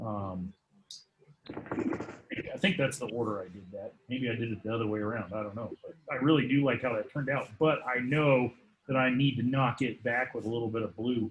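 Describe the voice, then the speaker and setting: The man's pitch sits in the medium range, with ordinary variation. He keeps a moderate pace. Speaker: watercolor art teacher. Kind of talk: painting tutorial. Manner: sometimes mumbles; hesitant, many fillers. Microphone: laptop mic a few feet away.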